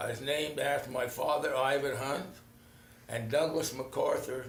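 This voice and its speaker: Someone speaks at a moderate pace amid noticeable background noise and audible room echo. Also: man. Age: 80s+. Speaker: retired local politician. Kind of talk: casual interview. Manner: halting.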